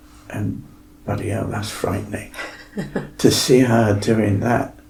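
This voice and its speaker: A man is heard over noticeable background noise, with audible echo from the room. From Devon, south-west England. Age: 70s. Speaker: fitness client sharing his story. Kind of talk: podcast interview.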